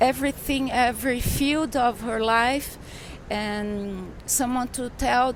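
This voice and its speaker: Speaking very slowly with a Portuguese accent, a woman uses a high pitch and fairly even intonation over noticeable background noise. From Brazil. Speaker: journalist and author. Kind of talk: interview. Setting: in person in São Paulo. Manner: halting, searching for words.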